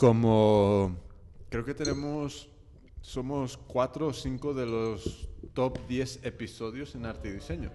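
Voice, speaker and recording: Speaking at a very slow pace, a man uses a dark, mellow tone at medium pitch with ordinary pitch variation. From California, US. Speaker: podcast host. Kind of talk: casual chat. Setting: studio. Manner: halting.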